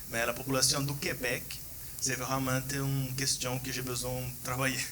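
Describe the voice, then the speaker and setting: Noticeable background noise and audible room echo around a man talking at a moderate pace. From Brazil. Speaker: PhD researcher. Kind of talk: conference Q&A. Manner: halting.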